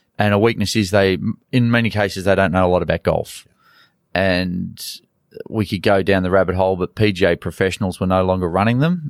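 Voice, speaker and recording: A man with an Australian accent and a very deep, low pitch talks at a fairly quick pace with fairly even intonation, in a very clean recording with a silent background. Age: 40s. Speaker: golf coach. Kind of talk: interview.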